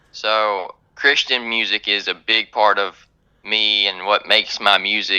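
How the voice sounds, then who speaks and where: In a fairly low pitch, a man speaks slowly with a bright, sharp tone and monotone, flat intonation, at a fairly slow pace. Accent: North Carolina. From US South, North Carolina. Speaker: country singer-songwriter. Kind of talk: radio interview. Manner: hesitant, many fillers.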